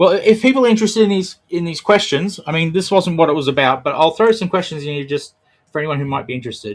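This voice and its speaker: Lively intonation in a very clean recording with a silent background. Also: man, high pitch for a man. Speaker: tech educator hosting live session. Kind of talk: live tutorial with screen demo. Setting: live stream. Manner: casual, halting with fillers.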